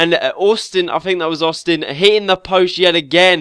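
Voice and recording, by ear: A man talks at a moderate pace in a fairly high, nasal voice with fairly even intonation. His tone is clear and smooth, yet also bright and sharp.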